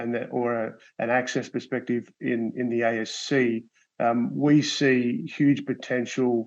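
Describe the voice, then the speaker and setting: Fairly slow speech comes in an Australian accent. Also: man. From Australia (Sydney). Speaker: medical device company executive. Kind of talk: panel discussion. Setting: webinar. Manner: halting, many fillers and repeats.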